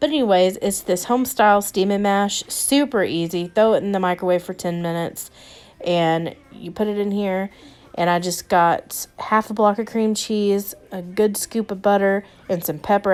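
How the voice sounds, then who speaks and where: A woman with a Southern US accent speaks at a medium pitch and a moderate pace. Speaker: cooking vlogger. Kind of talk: casual cooking narration.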